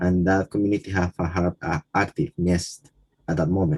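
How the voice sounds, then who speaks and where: With a Spanish accent, a man speaks at a fairly low pitch in a dark, mellow tone, with ordinary pitch variation and a dry, close sound with no echo. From Panama. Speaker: conservation worker. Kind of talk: panel discussion. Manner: halting.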